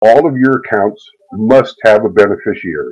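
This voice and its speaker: Male speech, fairly slow in pace. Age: 60s. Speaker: investing class teacher. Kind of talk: online class lecture. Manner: halting, with filler words.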